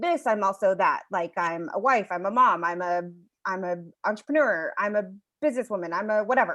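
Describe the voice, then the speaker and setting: Quiet background, then a woman with an ordinary speaking voice. She talks at a moderate pace with lively intonation. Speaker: storyteller and workshop leader. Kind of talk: online workshop presentation.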